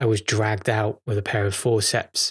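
Somewhat breathy and fairly low in pitch, a man talks at a moderate pace in a monotone, flat way. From northern England, Chester. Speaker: podcast host. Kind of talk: casual monologue. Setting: at home, childhood home.

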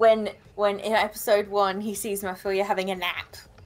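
Music plays in the background as a woman speaks at a medium pitch in a monotone with flat intonation. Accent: Australian. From Australia. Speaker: anime blogger guest. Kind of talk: casual chat.

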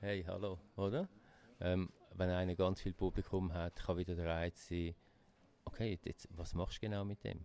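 A man speaks with a Swiss accent in a very deep, low pitch, his tone dark and mellow. His pace is moderate and his intonation stays monotone and flat. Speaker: magazine publisher. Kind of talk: interview conversation.

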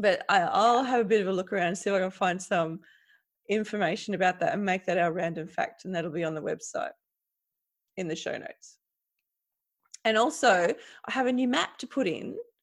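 A woman with an Australian accent talks at a medium pitch and a fairly quick pace, broken by long, frequent pauses. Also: lively intonation. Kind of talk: casual chat.

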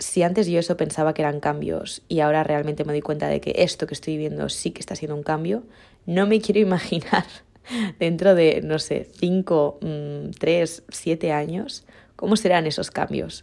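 A woman with a very deep, low pitch and a dark, mellow tone speaks at a moderate pace with fairly even intonation and vocal fry, on a very clean recording with a silent background. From Mallorca, Spain. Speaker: podcaster. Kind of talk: casual monologue.

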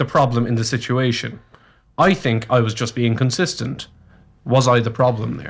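Somewhat breathy and medium in pitch, a man with a Cork accent speaks at a moderate pace. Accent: Cork Irish. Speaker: radio co-host. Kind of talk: casual radio banter. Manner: joking, playful, teasing.

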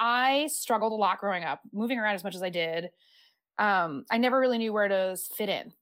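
An ordinary speaking voice with an American accent, lively intonation and a fairly quick pace. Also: woman. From US, military family (California, Virginia). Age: 30s. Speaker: former arts educator. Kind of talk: interview.

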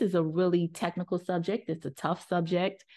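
Against a quiet background, a woman with an American accent and a plain, everyday voice speaks at a moderate pace in a medium pitch. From United States. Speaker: journalist and author. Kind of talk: casual chat.

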